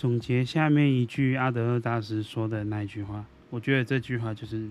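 A man's voice at medium pitch, fairly even in intonation, at a moderate pace. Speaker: podcast host. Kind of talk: casual monologue. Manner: halting.

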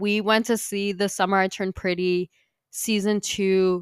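A woman speaks at a medium pitch and a fairly slow pace in an animated tone. The recording is very clean, with a silent background and a dry, close sound with no echo. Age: 20s. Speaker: podcast host. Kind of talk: casual chat.

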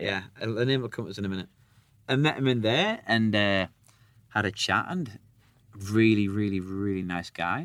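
In a Sunderland accent, a man speaks at a moderate pace with a fairly low pitch, ordinary pitch variation and long, frequent pauses. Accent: Sunderland (Mackem) English. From northern England, Sunderland. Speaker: rock musician. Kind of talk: casual chat.

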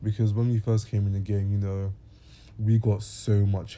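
This man talks at a moderate pace in a fairly low, somewhat breathy voice with a dark, mellow tone and monotone, flat intonation. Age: 20s. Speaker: musician. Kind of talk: casual Q&A monologue. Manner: hesitant, many fillers.

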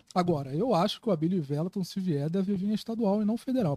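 Recorded dry and close with no echo, a man with a dark, mellow tone speaks at a very fast pace. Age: 20s. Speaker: journalist and political activist. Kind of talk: casual podcast conversation.

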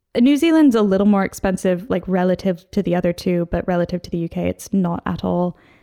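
Recorded very cleanly against a silent background, a woman with an American accent talks at a moderate pace in a medium pitch, her tone dark and mellow, the sound dry and close with no echo. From US Northwest, Seattle. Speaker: traveler, long-distance cyclist. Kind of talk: interview.

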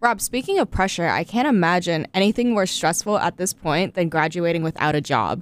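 Here is a woman with an ordinary speaking voice. She moves at a fairly quick pace with ordinary pitch variation. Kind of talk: interview conversation.

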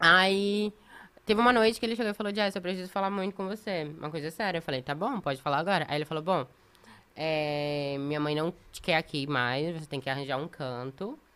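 A woman's fairly low-pitched voice with a bright, sharp tone, lively intonation and a fairly quick pace, on a very clean recording with a silent background. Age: 20s. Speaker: reality show contestant and model. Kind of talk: casual chat.

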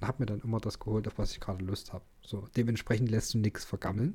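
On a very clean recording with a silent background, a man talks at a very fast pace. His tone is dark and mellow, and somewhat breathy. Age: 20s. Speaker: podcast co-host. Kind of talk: casual chat. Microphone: sits very close to the mic, low level.

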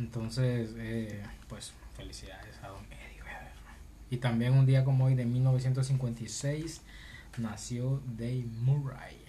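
A man at a very slow pace, with big swings in loudness and audible room echo. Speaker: podcast co-host. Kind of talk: casual chat.

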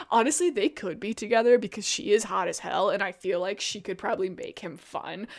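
Speaking at a fairly quick pace with hardly any pauses, a woman uses a medium pitch. Her tone is animated and her intonation lively. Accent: American. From US Midwest, Illinois. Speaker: podcast co-host. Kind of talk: casual chat.

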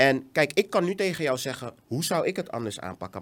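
A man at a moderate pace. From Netherlands. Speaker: education entrepreneur. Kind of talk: casual interview. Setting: studio.

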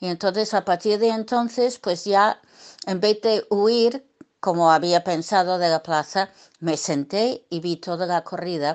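A woman's medium-pitched voice with ordinary pitch variation, at a fairly slow pace, in a dry, close sound with no echo and a quiet background. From US, Brooklyn, New York. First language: English (speaking Spanish). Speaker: bullfighting journalist and writer. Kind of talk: interview. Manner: hesitant with many fillers.

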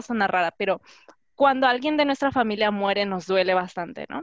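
A woman's voice with very wide pitch swings. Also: dry, close sound with no echo. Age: 20s. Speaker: doctoral student. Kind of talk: testimony.

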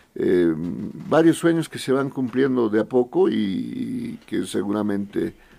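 A man speaks at a very slow pace with hardly any pauses. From Bolivia, Potosí. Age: 40s. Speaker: foundation director and politician. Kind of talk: casual interview. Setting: radio studio.

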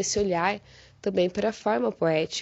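A woman speaks in an ordinary speaking voice. Her pace is fairly quick, with ordinary pitch variation. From southern Brazil, Paraná. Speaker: university lecturer and translation researcher. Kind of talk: prepared academic presentation.

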